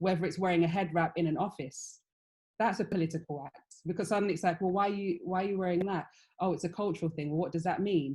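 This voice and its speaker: A woman in a British accent, somewhat breathy and dark, mellow in tone, with fairly even intonation at a very fast pace. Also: fairly low pitch for a woman, very clean recording, silent background. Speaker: fashion panelist. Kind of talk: panel discussion.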